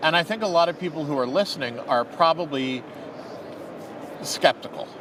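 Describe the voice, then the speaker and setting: Over noticeable background noise, a man with an American accent talks at a moderate pace in a fairly high voice with ordinary pitch variation. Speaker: lawyer. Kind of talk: live interview. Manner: halting, many fillers and repeats.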